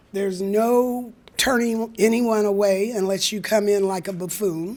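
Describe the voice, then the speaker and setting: There is noticeable background noise behind a woman speaking at medium pitch. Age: 70s. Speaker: food bank coordinator. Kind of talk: community talk.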